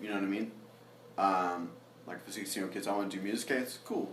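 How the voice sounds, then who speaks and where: A man's fairly low voice with fairly even intonation and audible room echo. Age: 20s. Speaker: songwriter and producer. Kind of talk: casual chat.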